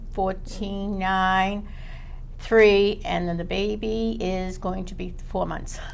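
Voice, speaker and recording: In a Boston accent, a woman speaks at a very slow pace, with a medium pitch and monotone, flat intonation, amid audible room echo and noticeable background noise. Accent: Boston-area. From Chelsea, Massachusetts. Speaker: school committee member. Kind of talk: panel discussion.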